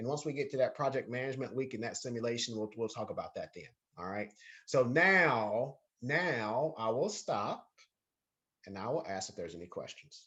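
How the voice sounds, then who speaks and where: Using lively intonation, a man speaks at a moderate pace and a medium pitch. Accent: Southern US. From North Carolina. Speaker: university lecturer. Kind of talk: lecture. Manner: repetitive, self-correcting.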